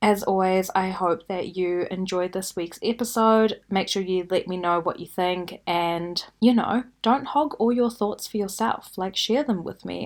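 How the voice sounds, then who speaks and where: Speaking at a fairly slow pace, a woman uses a medium pitch with ordinary variation on a very clean recording with a silent background. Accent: New Zealand. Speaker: podcast host. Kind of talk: casual podcast monologue.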